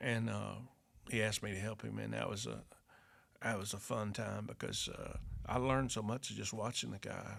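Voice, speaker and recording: A man with an Arkansas accent talks at a moderate pace. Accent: US Southern (Arkansas). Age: 70s. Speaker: retired farmer and carpenter, father of the host. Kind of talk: casual chat. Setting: workshop. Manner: halting.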